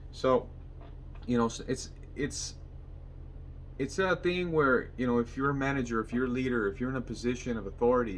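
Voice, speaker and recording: Speaking at a medium pitch, a man leaves long, frequent pauses. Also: ordinary pitch variation, fairly quick pace. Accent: Spanish. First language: Spanish. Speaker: mechanic and vlogger. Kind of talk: motivational vlog monologue.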